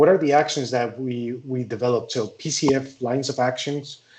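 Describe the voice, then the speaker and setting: Speaking with a Spanish accent, a man has a medium-pitched voice. He keeps a moderate pace. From Spain. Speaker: forestry engineer, wildfire specialist. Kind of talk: conference presentation. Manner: halting.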